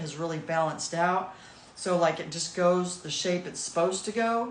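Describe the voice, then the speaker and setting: A woman speaks with fairly even intonation amid audible room echo and noticeable background noise. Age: 60s. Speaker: massage therapist doing self-care videos. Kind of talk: casual guided self-care demonstration.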